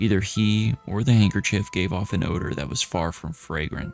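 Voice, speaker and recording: With music in the background, a man speaks at a moderate pace, his voice very deep and low, with ordinary pitch variation. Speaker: indie actor and gamer. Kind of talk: third-person narration of a children's horror novel.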